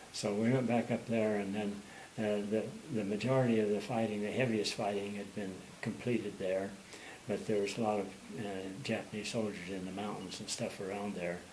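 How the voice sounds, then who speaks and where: A man's fairly low, monotone, flat voice at a fairly quick pace, with audible room echo. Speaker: war veteran. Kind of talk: oral history interview. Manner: fast; halting, many fillers.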